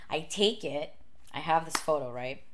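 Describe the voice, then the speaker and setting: A woman speaks in a fairly low pitch with lively intonation. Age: 30s. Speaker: makeup artist and YouTuber. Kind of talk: casual chat. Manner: casual, laughs a lot.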